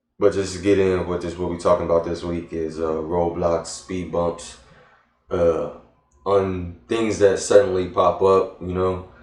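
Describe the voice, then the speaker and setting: In an American accent, a man with a very deep, low voice speaks at a moderate pace in a monotone, flat intonation, with audible room echo. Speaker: vlogger. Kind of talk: casual vlog monologue. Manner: hesitant, many fillers.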